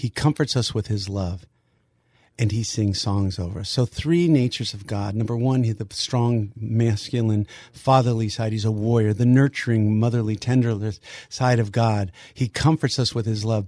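This man's voice is somewhat breathy and sits at a medium pitch. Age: 60s. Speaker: ministry leader. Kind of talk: interview.

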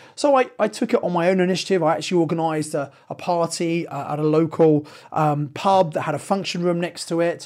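A man with a southern English accent talks at a fairly quick pace, his high pitch showing ordinary variation. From southern England (Sevenoaks, Kent). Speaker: property investment podcast host. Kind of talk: solo podcast monologue.

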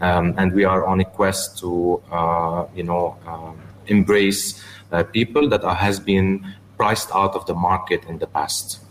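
Noticeable background noise behind a man with a very deep, low pitch, fairly even intonation and a fairly slow pace. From Lebanon (Beirut), then China as a teen. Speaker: businessman and watch collector. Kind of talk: radio interview. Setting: radio studio, live broadcast. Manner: hesitant, many filler sounds.

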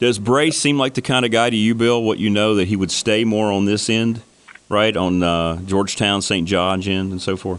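The man has an unremarkable speaking voice, pitched fairly low, with ordinary pitch variation. He talks at a moderate pace with very even loudness. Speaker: radio sports talk host. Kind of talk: radio sports talk show. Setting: radio studio.

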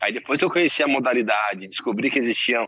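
A man talks at a very fast pace in a medium pitch, his tone bright and sharp, the sound dry and close with no echo. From Brazil, São Paulo state (Santo André). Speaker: bobsled pilot, Olympic athlete. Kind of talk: casual interview.

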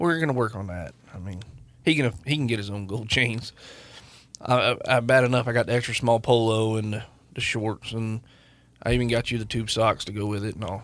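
A fairly quick pace in a normal speaking voice, pitch varying in an ordinary way. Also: man, medium pitch for a man. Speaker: lawyer and car enthusiast co-host. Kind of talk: casual chat. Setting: studio.

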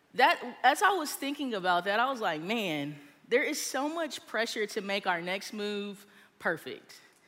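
A woman's unremarkable speaking voice at medium pitch, with lively intonation. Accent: American. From Texas. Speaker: small group leader. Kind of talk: sermon. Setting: stage with audience.

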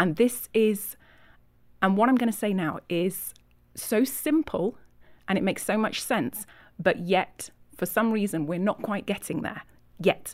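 A woman with a Yorkshire accent, lively intonation, a fairly slow pace and long, frequent pauses. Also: medium pitch for a woman. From Yorkshire, England. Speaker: ministry leader and author. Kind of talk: interview conversation.

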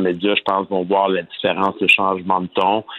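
A man speaks at a fairly quick pace in a fairly low pitch. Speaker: politician. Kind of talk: interview.

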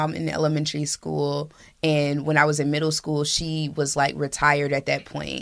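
A woman with an American accent, very deep and low in pitch, bright and sharp in tone, at a moderate pace, on a very clean recording with a silent background. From Indianapolis, Indiana, US Midwest. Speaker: community leader and nonprofit director. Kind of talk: casual interview.

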